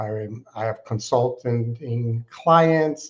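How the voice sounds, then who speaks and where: Somewhat breathy and at a medium pitch, a man's voice is heard. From Alaska. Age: 60s. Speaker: nonprofit fundraising consultant. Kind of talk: interview.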